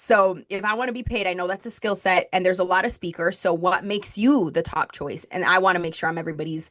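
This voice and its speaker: Very fast speech in a slight Spanish accent, with ordinary pitch variation against a quiet background. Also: woman, medium pitch for a woman. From Colombia (Bogotá). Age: 20s. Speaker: marketing strategist. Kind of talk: podcast interview.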